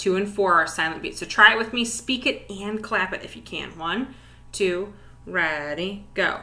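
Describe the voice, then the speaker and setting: Her medium-pitched voice at a moderate pace shows ordinary pitch variation and big swings in loudness, and the woman's room echo is audible. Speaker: elementary music teacher. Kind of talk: tutorial.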